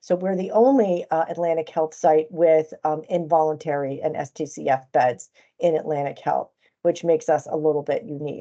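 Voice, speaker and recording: In a dark, mellow tone, a woman with a very deep, low pitch speaks at a moderate pace with ordinary pitch variation. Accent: American. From New Jersey, US. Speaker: chief nursing officer. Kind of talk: conference presentation. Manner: hesitant, with frequent fillers.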